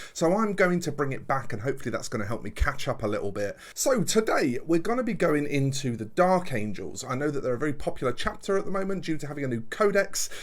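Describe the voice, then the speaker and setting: A man's fairly high voice at a very fast pace, with very wide pitch swings and hardly any pauses. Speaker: miniature painter and channel host. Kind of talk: tutorial.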